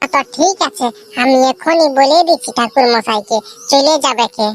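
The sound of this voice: A woman's cartoonish character voice, high-pitched with ordinary pitch variation, at a moderate pace, in a dry, close sound with no echo over background music.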